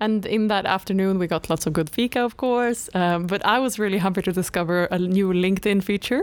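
A woman with a Swedish accent talks at a fairly quick pace and a medium pitch. Her pitch variation is ordinary and her loudness very even, on a very clean recording with a silent background. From northern Sweden. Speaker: graduate trainee podcast co-host. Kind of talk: casual chat.

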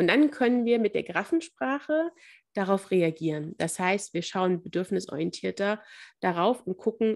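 With lively intonation, a woman of medium pitch speaks at a moderate pace in an unremarkable speaking voice. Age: 30s. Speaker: family counselor and mediator. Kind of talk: interview.

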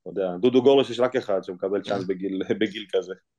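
A man speaks at a fairly quick pace in a dark, mellow tone against a quiet background. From Israel (immigrated from Ukraine as a baby). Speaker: professional football goalkeeper. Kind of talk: interview.

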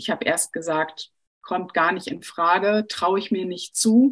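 An unremarkable speaking voice from a woman, medium pitch, fairly slow pace and ordinary pitch variation. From Sauerland, Germany. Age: 40s. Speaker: personal trainer and coach. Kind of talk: presentation in an online panel. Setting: video call.

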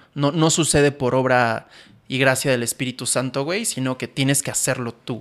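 A man speaks with a Mexican accent at medium pitch. His intonation stays fairly even. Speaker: podcast co-host and photographer/filmmaker. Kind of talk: casual chat. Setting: studio with cameras. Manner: fast.

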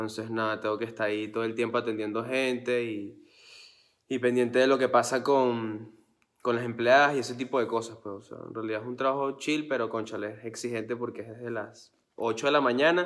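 Speaking at a moderate pace with a Venezuelan accent, a man has a medium pitch, fairly even intonation and big swings in loudness. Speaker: singer. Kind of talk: casual chat.

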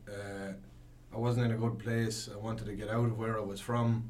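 At a moderate pace, a man talks in a monotone with flat intonation and a medium pitch. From Longford, Ireland. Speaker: band member musician. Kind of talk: casual interview chat. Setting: radio studio.

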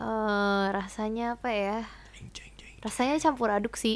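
A woman's voice comes through in a very clean recording with a silent background. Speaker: university student abroad. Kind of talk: casual chat. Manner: fast; laughing.

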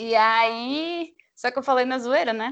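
The speaker is a woman. Her pitch is high. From Bahia, Brazil (Feira de Santana). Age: 20s. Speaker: podcast host and graphic designer. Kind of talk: casual interview.

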